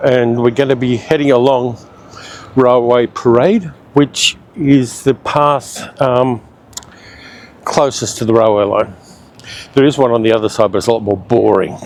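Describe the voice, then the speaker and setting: With an Australian accent, a man talks at a moderate pace and medium pitch, leaving long, frequent pauses over noticeable background noise. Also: ordinary pitch variation. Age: 60s. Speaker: travel vlogger. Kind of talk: casual vlog narration while walking. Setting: outdoors.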